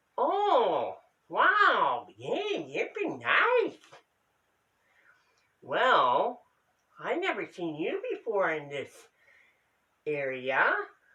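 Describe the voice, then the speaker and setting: Using a cartoonish character voice, a man speaks at a very slow pace with long, frequent pauses. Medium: puppet show. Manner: broken, simple phrasing, talks to herself.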